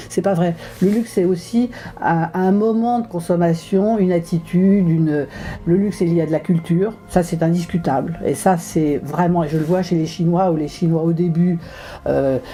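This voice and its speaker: Over noticeable background noise, a woman speaks at a moderate pace with a fairly low pitch and ordinary pitch variation. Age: 70s. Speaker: luxury industry expert and teacher. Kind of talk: recorded video message. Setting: self-recorded video from abroad. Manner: hesitant, many fillers and repetitions.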